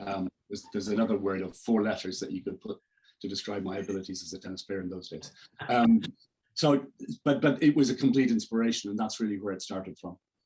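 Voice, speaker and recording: With an Irish accent, a man talks at a very fast pace in a fairly low-pitched voice. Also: ordinary pitch variation, big swings in loudness. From Ireland. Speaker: executive coach. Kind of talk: interview. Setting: video call. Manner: halting, many false starts.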